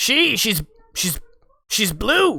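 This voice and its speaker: A put-on character voice at a fairly high pitch, with very wide pitch swings. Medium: actual play. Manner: shifty, wheedling, easily spooked.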